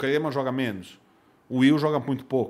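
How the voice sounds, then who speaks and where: A man at a fairly high pitch and fairly slow pace, with ordinary pitch variation. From São Paulo, Brazil. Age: 40s. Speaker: poker instructor and commentator. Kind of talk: casual interview. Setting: studio.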